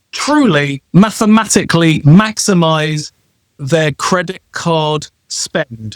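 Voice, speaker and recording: Lively intonation from a man with a British accent. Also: dry, close sound with no echo. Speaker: travel rewards consultant. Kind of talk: self-introduction talk on a live show. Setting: live stream.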